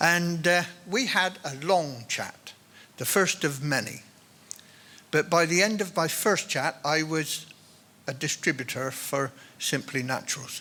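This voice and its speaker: The voice has a bright, sharp tone and ordinary pitch variation. It moves at a fairly slow pace, with long, frequent pauses. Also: man, fairly high pitch for a man. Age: 70s. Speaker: retired farmer and product distributor. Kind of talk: testimony speech to an audience. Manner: hesitant, with fillers.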